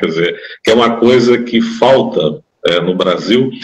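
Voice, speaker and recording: A man speaks at a fairly slow pace in a medium pitch. His is a plain, everyday voice. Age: 60s. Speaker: condominium manager. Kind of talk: interview.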